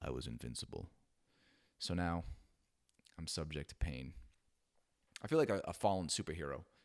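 A man's very deep, low voice with vocal fry and ordinary pitch variation, at a fairly quick pace broken by long, frequent pauses. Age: 40s. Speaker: podcast host. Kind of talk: casual monologue. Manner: casual with fillers.

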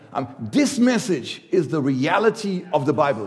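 Audible room echo surrounds this voice. Its pitch swings very widely. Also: man. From Germany. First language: German. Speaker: visiting preacher. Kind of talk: sermon. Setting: church. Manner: halting.

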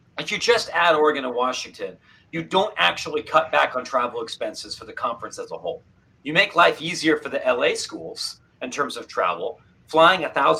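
This man talks at a fairly quick pace. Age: 30s. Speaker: college sports journalist. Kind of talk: interview.

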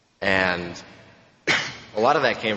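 A man speaks with a very deep, low voice and fairly even intonation. Noticeable background noise and audible room echo surround him. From Romania. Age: 20s. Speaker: AA speaker. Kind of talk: testimony. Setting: stage with audience.

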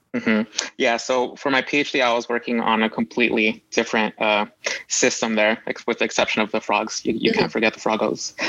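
Speaking with an American accent, a man keeps a fairly quick pace. His pitch is medium and his intonation fairly even. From US, Los Angeles. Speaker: postdoctoral biologist. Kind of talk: interview. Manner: hesitant, with fillers and repeats.

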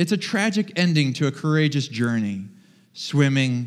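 An animated man speaks on a very clean recording with a silent background. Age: 40s. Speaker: pastor. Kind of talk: sermon.

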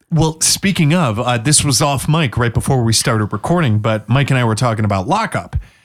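Using a plain, everyday voice, a man with an American accent speaks at a fairly quick pace with lively intonation and very even loudness. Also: medium pitch for a man. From Washington State. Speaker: podcast co-host. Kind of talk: casual chat.

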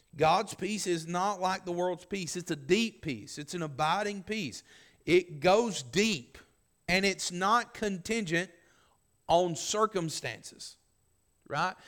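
With a Southern US accent, a man speaks at a very slow pace in a high voice with ordinary pitch variation, captured in a very clean recording with a silent background. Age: 40s. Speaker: pastor. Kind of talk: sermon. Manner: halting.

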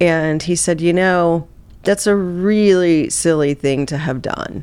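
A woman with an ordinary speaking voice talks at a fairly slow pace, with fairly low pitch and ordinary pitch variation. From US Midwest (Southeast Missouri). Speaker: neuroperformance coach and keynote speaker. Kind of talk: interview conversation.

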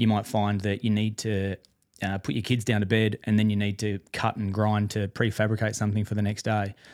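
Speaking at a fairly quick pace with an Australian accent, a man keeps a fairly low voice in a monotone, flat intonation on a very clean recording with a silent background. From Perth, Western Australia. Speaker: electrician and coworking space owner. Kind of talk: interview. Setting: studio.

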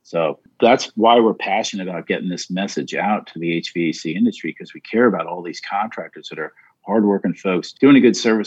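The sound is dry and close, with no echo. A man with a normal speaking voice talks at a fairly low pitch with ordinary pitch variation. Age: 50s. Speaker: tech company co-founder. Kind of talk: podcast interview.

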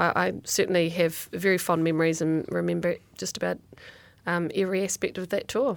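The background is silent in this very clean recording. A woman talks at a fairly quick pace. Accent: New Zealand. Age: 40s. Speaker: former rugby player and sports executive. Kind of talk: interview. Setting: studio.

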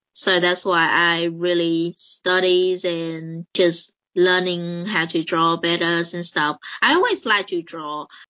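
Speaking very slowly with a Vietnamese accent, a woman keeps a fairly low pitch and monotone, flat intonation. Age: 20s. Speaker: colorist and illustrator. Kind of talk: interview. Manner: hesitant, many fillers.

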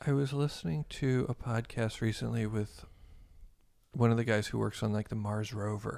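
Here a man speaks at a moderate pace in a medium-pitched voice. His pitch varies in an ordinary way. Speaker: psychedelic integration group organizer. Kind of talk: casual interview.

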